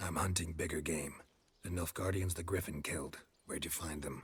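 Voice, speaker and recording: This man uses a put-on character voice pitched very deep and low, delivered in a deadpan tone. He talks at a fairly quick pace. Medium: video game. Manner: terse, deadpan.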